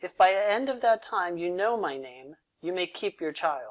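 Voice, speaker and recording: At a moderate pace and middle pitch, a female-sounding voice growls in a put-on character voice over a quiet background. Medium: read story. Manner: bargaining.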